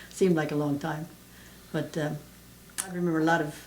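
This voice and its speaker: Speaking at a fairly quick pace with an American accent, a woman with a fairly low pitch keeps a monotone, flat intonation amid audible room echo and noticeable background noise. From southeastern Pennsylvania. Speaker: elderly mother interviewed about family history. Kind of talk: family oral history interview. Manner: halting, many fillers.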